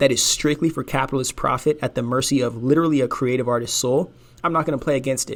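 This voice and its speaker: An animated man speaks at a fairly high pitch with ordinary pitch variation. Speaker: podcast host. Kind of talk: casual monologue. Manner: fast.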